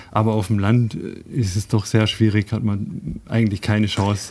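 A man's dark, mellow voice at a fairly low pitch and a moderate pace. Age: 30s. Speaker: engineer and cycling traveler. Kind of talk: radio interview. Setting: studio.

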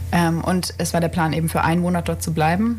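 The pace is fairly quick. Audible room echo surrounds the speech. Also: woman. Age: 20s. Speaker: medical student and aid volunteer. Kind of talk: radio interview. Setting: radio studio.

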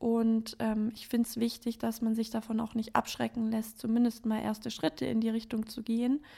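Somewhat breathy and dark, mellow in tone, a woman speaks in a monotone, flat intonation with hardly any pauses. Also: fairly high pitch for a woman, moderate pace. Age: 20s. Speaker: yoga teacher. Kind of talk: interview. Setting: living room at home.

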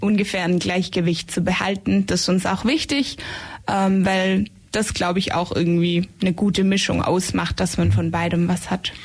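A woman with a somewhat breathy voice speaks at a moderate pace. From Swabian Jura, Germany. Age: 20s. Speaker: psychology student, shared-house resident. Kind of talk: radio interview. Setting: radio studio.

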